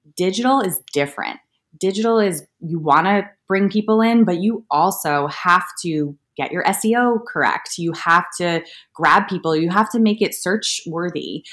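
Heard on a very clean recording with a silent background, a woman speaks at a moderate pace in a medium pitch with ordinary pitch variation, in a normal speaking voice. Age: 30s. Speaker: digital magazine editor. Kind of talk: interview.

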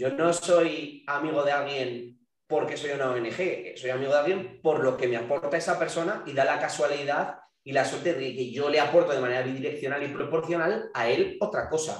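A man's fairly high voice with audible room echo. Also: ordinary pitch variation, moderate pace. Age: young. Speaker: fitness coach and entrepreneur. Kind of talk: casual chat.

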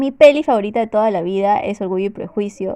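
A woman's dark, mellow voice at a medium pitch, with ordinary pitch variation and a fairly quick pace. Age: 20s. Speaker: podcast co-host, public relations worker. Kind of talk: casual chat.

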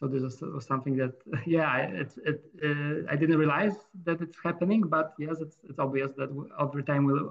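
A man speaks with a Polish accent at a fairly high pitch. His intonation stays fairly even. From Poland. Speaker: medical doctor. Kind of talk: casual interview. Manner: halting.

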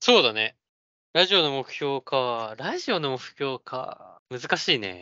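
Very slow speech from a man at a medium pitch, with lively intonation. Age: 20s. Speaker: podcast co-host. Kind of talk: casual chat.

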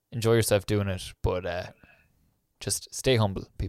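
In a very clean recording with a silent background, a man speaks with an Irish accent at a moderate pace and fairly even intonation. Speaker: podcast host. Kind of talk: podcast intro narration; casual interview chat.

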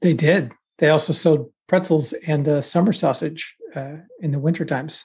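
A man with an American accent speaks at a moderate pace in an unremarkable speaking voice, his fairly high pitch carried on fairly even intonation. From Texas. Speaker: podcast co-host. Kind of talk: casual chat.

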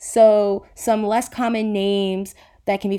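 A woman's dark, mellow voice stays monotone and flat on a very clean recording with a silent background. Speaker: podcast host.

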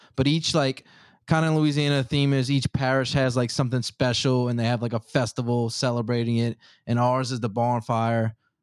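Recorded very cleanly with a silent background and a dry, close sound with no echo, a man of medium pitch has a plain, everyday voice with fairly even intonation. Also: moderate pace. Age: 20s. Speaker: engineer and podcast host. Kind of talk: casual chat.

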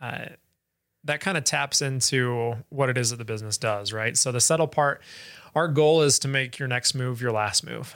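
A man with a plain, everyday voice and an American accent, medium pitch with ordinary variation, at a moderate pace, on a very clean recording with a silent background. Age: 20s. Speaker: startup founder. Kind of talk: interview.

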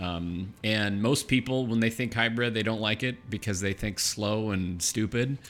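A man talks in a plain, everyday voice at a fairly low pitch and a moderate pace. His intonation is fairly even, with hardly any pauses. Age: 40s. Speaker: podcast host. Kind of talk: casual interview chat. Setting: studio.

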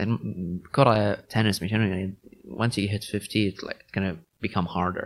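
A man in a plain, everyday voice, fairly low in pitch, with fairly even intonation, a moderate pace and big swings in loudness. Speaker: podcast host. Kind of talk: casual interview chat. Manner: code-switching between Arabic and English.

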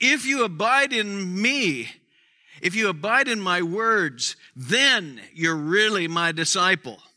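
A man's high, raised, projected voice, bright and sharp in tone, with lively intonation at a very slow pace. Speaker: pastor. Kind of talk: sermon. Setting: church with congregation.

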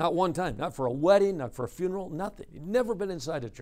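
A man is speaking at a fairly quick pace. His intonation is lively. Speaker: preacher. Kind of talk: sermon, conference preaching workshop. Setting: conference session with live audience of men. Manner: earnest, conversational, exhorting; storytelling, dramatic delivery with quoted dialogue.

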